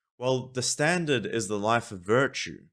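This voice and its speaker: Ordinary pitch variation and a moderate pace from a man in an ordinary speaking voice. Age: 20s. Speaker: commentary video host. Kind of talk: monologue to camera. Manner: repeats words and restarts often.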